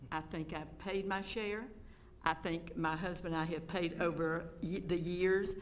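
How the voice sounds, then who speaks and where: With a Georgia accent, a woman speaks in a fairly low pitch and fairly even intonation, with audible room echo around her. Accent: Georgia Southern US. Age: 70s. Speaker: public commenter. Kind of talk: public comment at board meeting. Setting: school board meeting. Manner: unscripted, off the cuff.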